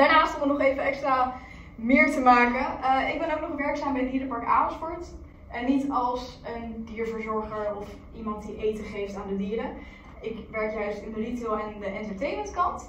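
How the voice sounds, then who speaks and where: Over light background noise and with audible room echo, a woman speaks at a high pitch with ordinary pitch variation. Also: moderate pace. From Netherlands, Amersfoort. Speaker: influencer vlogger. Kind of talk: presentation to a class. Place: meeting room. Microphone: camera far.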